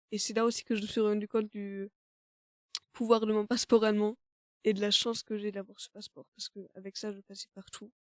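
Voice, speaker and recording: A woman's fairly high voice at a fairly quick pace, broken by long, frequent pauses, with monotone, flat intonation, big swings in loudness and a dry, close sound with no echo. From Germany. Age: 20s. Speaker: student. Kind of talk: conversational interview. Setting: studio. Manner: hesitant, many fillers. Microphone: mic issues.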